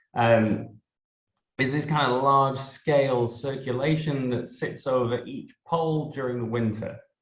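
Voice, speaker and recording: A man with an English accent speaks at a fairly slow pace and medium pitch, his voice somewhat breathy. His intonation is fairly even, and the room echo is audible. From northern England. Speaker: meteorology researcher. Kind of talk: interview, scientific explanation.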